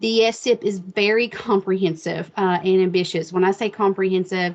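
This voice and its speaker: Against a quiet background, a woman with a slight Appalachian accent talks at a moderate pace with ordinary pitch variation. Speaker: state education specialist. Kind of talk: webinar presentation. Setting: online video meeting. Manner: casual, with many fillers.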